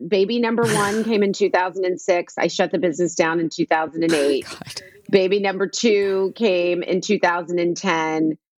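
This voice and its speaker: With an American accent and a normal speaking voice, a woman talks at a fairly slow pace, her medium pitch showing ordinary variation. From US Northeast (New York / New Jersey). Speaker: skincare entrepreneur. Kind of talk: casual interview.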